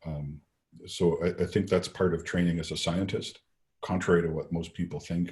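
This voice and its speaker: A man speaks at a very deep, low pitch. His voice is somewhat breathy. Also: moderate pace. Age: old. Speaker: lecturer, scientist. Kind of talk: Q&A after a lecture.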